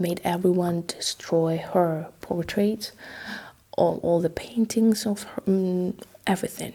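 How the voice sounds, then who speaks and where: A woman speaks in a Russian accent at a fairly low pitch. Her intonation stays fairly even. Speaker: ASMR history narrator. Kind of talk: casual history storytelling. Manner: halting, many fillers; soft-spoken ASMR.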